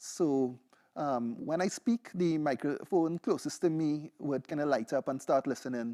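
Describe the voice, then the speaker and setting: A man with a Trinidadian accent, a fairly high pitch and a dark, mellow tone speaks with ordinary pitch variation, in a dry, close sound with no echo on a very clean recording with a silent background. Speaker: PhD researcher and music producer. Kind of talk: seminar presentation with demo.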